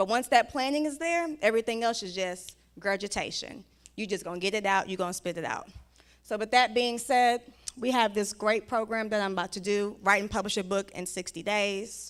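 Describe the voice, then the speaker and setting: Speaking at a fairly quick pace, a woman uses medium pitch, ordinary pitch variation and an animated tone. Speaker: book writing coach, conference speaker. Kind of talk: conference talk with sales pitch and Q&A. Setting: stage with live audience. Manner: fast.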